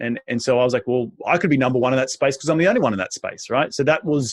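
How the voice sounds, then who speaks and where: A man speaks with an animated tone and an Australian accent. The sound is dry and close, with no echo. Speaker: real estate investor. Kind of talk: interview. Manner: animated, repetitive restarts.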